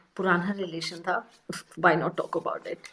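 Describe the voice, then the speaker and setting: This is a woman speaking. She has a Delhi accent. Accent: Delhi Hindi. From India, Delhi. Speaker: vlogger. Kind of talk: casual vlog talk. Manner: animated.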